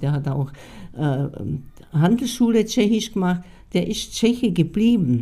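A woman's dark, mellow tone at a fairly low pitch, fairly slow pace, and lively intonation. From Bohemia, Czechoslovakia (Sudetenland). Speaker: expellee eyewitness. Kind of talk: interview testimony. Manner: halting, with fillers.

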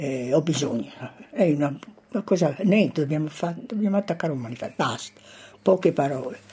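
A woman at a very fast pace with very wide pitch swings. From Italy, Correggio. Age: 80s+. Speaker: former partisan. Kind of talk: testimony.

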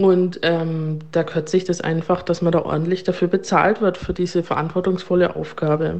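Her pitch is fairly low, and this woman speaks in a monotone, flat way at a moderate pace. She barely pauses and keeps her loudness very even. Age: 30s. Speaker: nurse and ward manager. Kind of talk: interview testimony.

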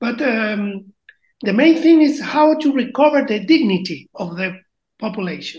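With a Chilean accent, a woman speaks at a fairly slow pace and a high pitch, her voice making very wide pitch swings. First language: Spanish. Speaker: band member and project founder. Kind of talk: casual interview. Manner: halting, with frequent fillers.

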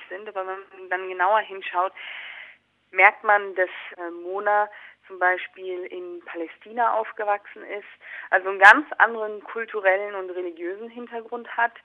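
With a normal speaking voice, a woman talks at a moderate pace with fairly even intonation but big swings in loudness. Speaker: documentary filmmaker. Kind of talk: interview.

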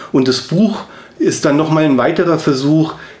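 A man's voice against noticeable background noise. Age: 40s. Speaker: sculptor and artist. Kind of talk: interview. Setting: studio.

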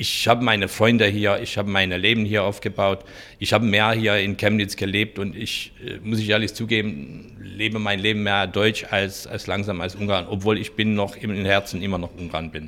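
A man speaks with a Hungarian accent in a bright, sharp tone and a flat, monotone intonation. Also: fairly low pitch for a man, moderate pace. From rural eastern Hungary. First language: Hungarian (speaking German). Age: 50s. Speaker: innkeeper. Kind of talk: interview.

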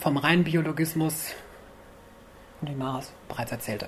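At a moderate pace, a woman speaks in a very deep, low pitch, with audible room echo. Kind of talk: lecture. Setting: stage with audience. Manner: quiet, may get quieter.

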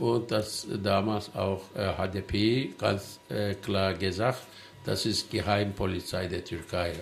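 A man speaks at a very slow pace, his fairly low voice carrying fairly even intonation. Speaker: studio guest. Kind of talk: panel discussion. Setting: studio.

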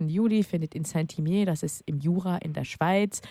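A woman at fairly low pitch with ordinary pitch variation, in a dry, close sound with no echo. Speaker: guest on queer radio show. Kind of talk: casual chat.

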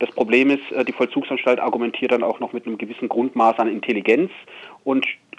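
A man speaks in an unremarkable speaking voice at a medium pitch. His intonation is fairly even. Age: 50s. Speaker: prisoner. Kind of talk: interview. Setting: phone call. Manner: articulate.

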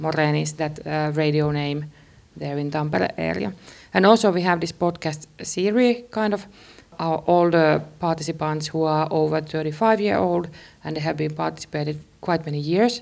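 A woman with a Finnish accent speaks at a very deep, low pitch with ordinary pitch variation. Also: moderate pace. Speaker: radio producer. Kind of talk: interview.

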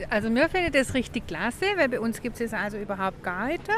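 A woman speaks at a high pitch. Noticeable background noise sits behind her. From Meßkirch area, Baden-Württemberg. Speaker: visitor, passer-by. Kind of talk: street interview. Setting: outdoors in town.

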